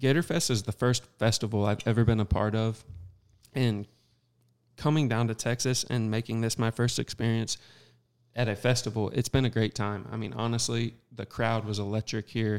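With an American accent, a man talks at a moderate pace in an unremarkable speaking voice, medium in pitch and with fairly even intonation, on a very clean recording with a silent background. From Southern Missouri. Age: young. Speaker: small business owner. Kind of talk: casual chat. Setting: studio.

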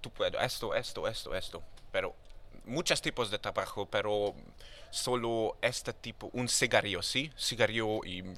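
With a non-native accent, a man speaks at a fairly slow pace. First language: not Spanish (speaking Spanish). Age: 20s. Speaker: rapper. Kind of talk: casual chat. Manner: halting.

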